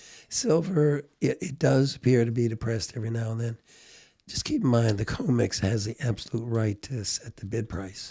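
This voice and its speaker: Somewhat breathy, a man with a dark, mellow tone speaks at a medium pitch and moderate pace, with ordinary pitch variation. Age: 70s. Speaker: precious metals commentator. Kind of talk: casual chat.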